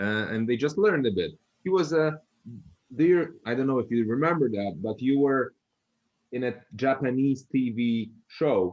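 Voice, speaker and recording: With a Polish accent, a man at a medium pitch speaks with long, frequent pauses. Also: lively intonation, moderate pace. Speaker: family caregiver. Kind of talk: interview. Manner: halting.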